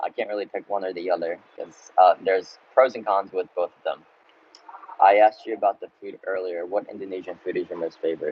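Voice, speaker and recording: A man talks at a fairly quick pace, with big swings in loudness. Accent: American. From United States (Baltimore, Maryland). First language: Russian. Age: 20s. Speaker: travel vlogger. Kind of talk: live Q&A stream. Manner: casual, hesitant with fillers.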